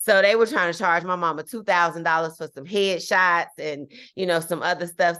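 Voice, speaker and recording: Over a quiet background, a woman with a fairly low pitch speaks in an animated, bright, sharp tone. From Chicago, South Side. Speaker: actress. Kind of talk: classroom guest talk.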